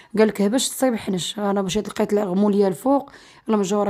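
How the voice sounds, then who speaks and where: On a very clean recording with a silent background, a woman with a medium pitch and a dark, mellow tone talks at a very fast pace with monotone, flat intonation. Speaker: lifestyle vlogger. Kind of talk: casual vlog narration. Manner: chatty.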